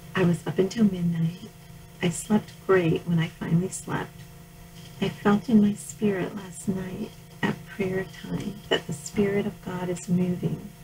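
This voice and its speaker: Over noticeable background noise, a woman speaks at a fairly slow pace and fairly low pitch in a flat, monotone delivery. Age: 60s. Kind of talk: reading aloud from personal journal.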